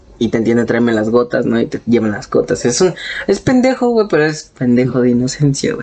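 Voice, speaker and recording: Fairly quick speech in a Mexican accent, with noticeable background noise. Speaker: podcast co-host. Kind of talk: casual chat. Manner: animated.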